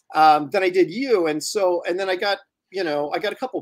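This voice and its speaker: A man with an American accent, high pitch and lively intonation, against a quiet background. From US Pacific Northwest. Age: 50s. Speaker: comic book artist and live show host. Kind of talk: casual chat and interview. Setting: live video stream. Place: home room.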